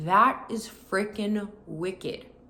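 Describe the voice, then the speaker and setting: Audible room echo surrounds a woman who speaks very slowly. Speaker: faith vlogger. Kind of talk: personal vlog talk. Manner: casual, filler-heavy.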